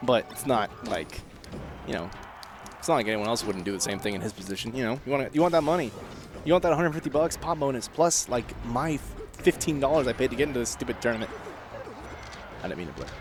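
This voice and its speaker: Mumbling at a very fast pace, a man speaks at medium pitch with lively intonation and long, frequent pauses, over noticeable background noise. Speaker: esports commentator. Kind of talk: live commentary. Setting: tournament livestream. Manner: rambling filler-heavy casual speech.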